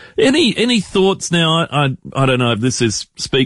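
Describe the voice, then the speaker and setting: The speaker is a man with an Australian accent. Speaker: radio host. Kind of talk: casual radio chat. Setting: radio studio.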